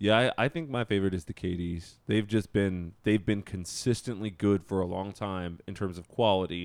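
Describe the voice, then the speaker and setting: A man with an American accent has an ordinary speaking voice at a fairly low pitch, with ordinary pitch variation. He keeps a moderate pace with hardly any pauses. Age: 30s. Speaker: sneaker podcast co-host. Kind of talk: casual chat.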